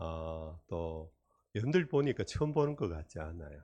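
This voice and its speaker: A man's very deep, low voice with a Daegu accent, dark and mellow in tone, somewhat breathy, with lively intonation, over a quiet background. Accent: Daegu Gyeongsang dialect. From Korea, Daegu. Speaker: retired senior pastor, guest preacher. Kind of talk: sermon. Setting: church revival meeting.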